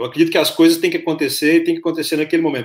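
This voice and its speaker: This man speaks at a fairly high pitch with ordinary pitch variation. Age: 40s. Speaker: podcast host. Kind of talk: interview. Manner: halting.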